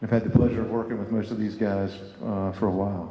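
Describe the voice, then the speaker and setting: At a fairly quick pace, a man with a Southern US accent talks in a room with audible echo. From US South. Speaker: private equity investor panelist. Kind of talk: conference panel discussion.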